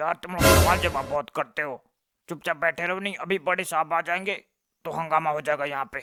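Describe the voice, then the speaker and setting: A cartoonish character voice runs at a fairly quick pace with a middle pitch. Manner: grumbling, defiant.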